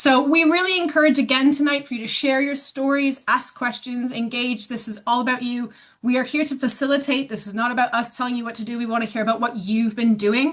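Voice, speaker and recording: With a Canadian accent, a woman talks at a fairly quick pace with hardly any pauses. Her high pitch varies in an ordinary way. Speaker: sports organisation staff member. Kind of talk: online meeting facilitation.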